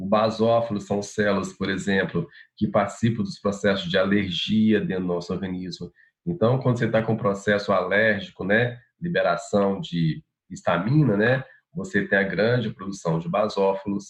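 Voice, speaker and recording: At a moderate pace, a man with a plain, everyday voice talks at fairly low pitch with lively intonation. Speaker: university lecturer. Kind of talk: lecture.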